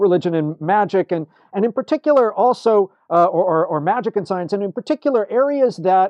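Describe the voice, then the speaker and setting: Lively intonation in a high male voice. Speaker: religious studies scholar. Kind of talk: interview. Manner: fast; animated.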